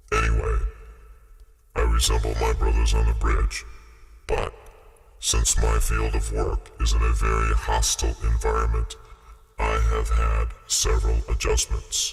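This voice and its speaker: A put-on character voice speaks at a moderate pace in a flat monotone, with very even loudness. Loud music plays behind it, and the speech has long, frequent pauses. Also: man, very deep, low pitch for a man. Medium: audio drama. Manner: calm, laconic, matter-of-fact.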